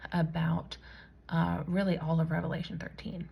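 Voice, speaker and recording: A soft-spoken woman at a fairly slow pace. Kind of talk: personal testimony vlog. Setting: at home late at night. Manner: casual with many fillers.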